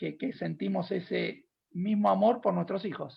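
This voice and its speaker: A man in a Rioplatense accent at a moderate pace. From Buenos Aires, Argentina. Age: 50s. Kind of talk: panel discussion.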